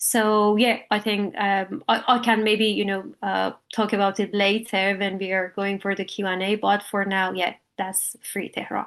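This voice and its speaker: A woman with an Iranian accent, medium-pitched, speaking at a fairly slow pace in a flat monotone against a quiet background. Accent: Iranian (Persian) accent in English. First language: Persian. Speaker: artist, illustrator. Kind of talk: artist talk at online panel. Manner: halting, many fillers.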